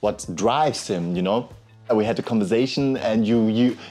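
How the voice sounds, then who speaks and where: A man at a moderate pace over faint music in the background. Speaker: content creator. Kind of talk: casual vlog chat. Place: home room. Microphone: lapel.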